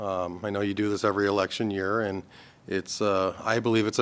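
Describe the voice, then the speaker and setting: A man with a fairly low pitch talks at a fairly quick pace in an Upper Midwest accent. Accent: Upper Midwest American. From Minnesota, US (Anoka). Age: 50s. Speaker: political candidate. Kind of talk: candidate forum statement.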